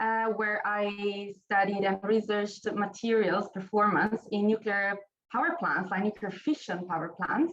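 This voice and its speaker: Speaking at a fairly slow pace with an Italian accent, a woman uses a medium pitch with ordinary pitch variation. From Italy. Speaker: nuclear researcher. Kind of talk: panel discussion. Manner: halting.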